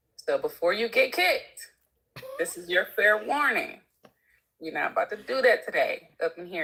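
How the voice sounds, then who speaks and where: At a moderate pace, a woman speaks. Her loudness swings widely. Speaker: chat moderator. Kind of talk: casual livestream talk. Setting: livestream. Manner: calm.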